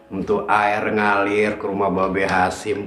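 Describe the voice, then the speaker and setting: Speaking with a Jakarta accent at a very slow pace, the voice carries audible room echo over faint music in the background. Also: man. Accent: Betawi. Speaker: storyteller. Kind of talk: sohibul hikayat storytelling. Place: home room.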